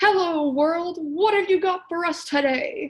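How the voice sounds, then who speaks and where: A woman's loud, put-on character voice, extremely high-pitched, at a fairly slow pace with ordinary pitch variation. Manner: cheerful, booming.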